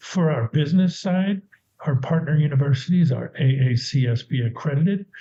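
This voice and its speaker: A man with a fairly high pitch and a dark, mellow, somewhat breathy tone talks at a moderate pace with ordinary pitch variation. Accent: American. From United States. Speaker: university department head. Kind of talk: presentation. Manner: casual, with self-corrections.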